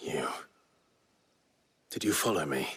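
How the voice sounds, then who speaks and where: A raspy, fairly low put-on character voice from a man. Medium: video game. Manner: low, restrained, terse.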